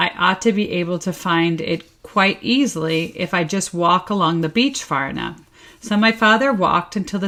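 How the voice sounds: Pitch varies in an ordinary way across a natural reading voice.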